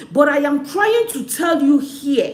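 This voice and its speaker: A woman speaks at a fairly slow pace in an animated tone, her pitch swinging very widely. Noticeable background noise and audible room echo fill the recording. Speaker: live stream host. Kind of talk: live stream talk.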